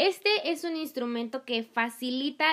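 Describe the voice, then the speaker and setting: A woman's high-pitched voice at a fairly slow pace, with ordinary pitch variation, on a very clean recording with a silent background. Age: 20s. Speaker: languages student and podcast host. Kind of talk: educational podcast monologue. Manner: chatty with frequent filler sounds.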